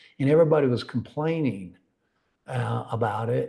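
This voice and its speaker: Somewhat breathy and at a medium pitch, a man with a North Georgia accent talks at a fairly slow pace. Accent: Southern US (North Georgia). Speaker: risk management consultant. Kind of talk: webinar presentation. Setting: online webinar.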